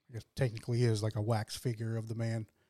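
The sound is dry and close with no echo as a man talks at a fairly quick pace. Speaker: podcast co-host. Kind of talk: casual chat. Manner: laid-back, laughs often.

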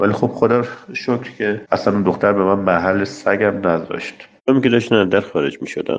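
A man speaks at a moderate pace with fairly even intonation. His pitch is fairly low. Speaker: dentist. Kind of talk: personal story. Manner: talkative.

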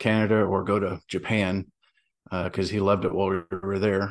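On a very clean recording with a silent background, the speaker goes at a moderate pace with monotone, flat intonation. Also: man. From US South. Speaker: veteran and novelist. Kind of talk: casual interview chat.

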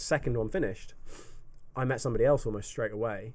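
Speaking in an English accent, a man keeps his intonation fairly even. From UK. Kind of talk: casual chat.

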